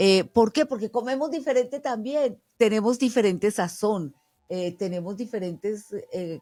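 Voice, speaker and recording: Against music in the background, a woman with a Spanish accent talks at a fairly slow pace in a fairly high pitch with lively intonation. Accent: Spanish accent when speaking English. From Colombia. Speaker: podcast host. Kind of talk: interview.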